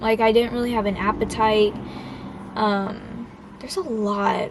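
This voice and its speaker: Noticeable background noise sits behind a woman speaking with fairly even intonation. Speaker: vlogger. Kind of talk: casual vlog monologue. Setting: outdoors, public place. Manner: halting, filler-heavy.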